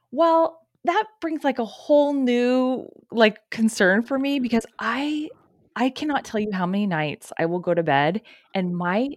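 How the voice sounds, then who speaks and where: In a dry, close recording with no echo and a quiet background, a woman speaks with very wide pitch swings. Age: 40s. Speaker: podcast co-host. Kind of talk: casual chat. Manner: animated.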